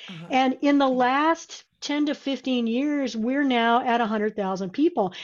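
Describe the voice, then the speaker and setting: Speaking at a very slow pace, a woman uses a high pitch. She has an American accent. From South Texas (San Antonio), then Nebraska from 14. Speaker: web agency founder. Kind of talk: casual interview chat.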